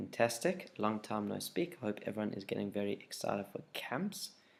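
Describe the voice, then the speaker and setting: Soft-spoken and fairly quick, a man with a fairly low pitch talks with vocal fry and lively intonation. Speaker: youth group leader. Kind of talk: casual video update. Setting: at home, late at night.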